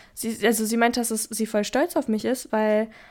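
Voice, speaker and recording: A woman is speaking. Her pace is fairly quick. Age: young. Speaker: podcast co-host. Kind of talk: casual chat.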